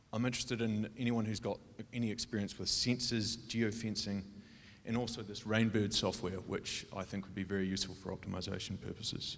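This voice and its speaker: With a New Zealand accent, a man speaks fairly quickly in a flat, monotone way. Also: fairly low pitch for a man. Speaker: logistics designer pitching a startup. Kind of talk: startup pitch.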